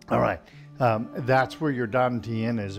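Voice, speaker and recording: Clear music plays in the background. The speech moves at a fairly slow pace. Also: man. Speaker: tai chi instructor. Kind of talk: tutorial. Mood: calm, friendly. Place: home room.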